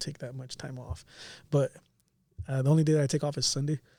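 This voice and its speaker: Somewhat breathy, a man with a dark, mellow tone and medium pitch talks with fairly even intonation on a very clean recording with a silent background. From Watsonville, California. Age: 30s. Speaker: barber and entrepreneur. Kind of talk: casual chat.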